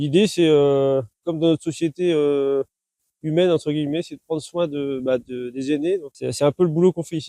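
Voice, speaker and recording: Fairly high in pitch yet dark and mellow in tone, a man's voice moves at a fairly quick pace with fairly even intonation. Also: dry, close sound with no echo. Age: 30s. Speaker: farmer. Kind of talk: interview. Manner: hesitant, many fillers and repetitions.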